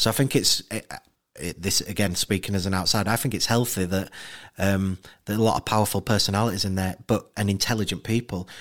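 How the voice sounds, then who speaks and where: Speaking very fast with a Yorkshire accent, a man keeps a fairly low pitch and fairly even intonation in a very clean recording with a silent background. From Leeds, West Yorkshire. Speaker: documentary director. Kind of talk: interview.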